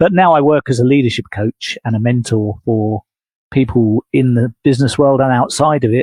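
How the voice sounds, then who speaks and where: The recording has a dry, close sound with no echo as a man talks at a moderate pace, medium in pitch with ordinary pitch variation. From England. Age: 60s. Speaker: leadership coach. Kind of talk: podcast interview.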